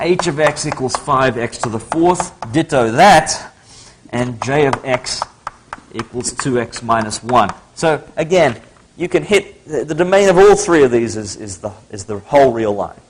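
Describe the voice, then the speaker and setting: With noticeable background noise behind him, a man with an American accent speaks at a fairly slow pace, using lively intonation and a fairly high pitch. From Australia, Sydney. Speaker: math lecturer. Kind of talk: lecture. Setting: lecture hall with audience. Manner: casual, conversational.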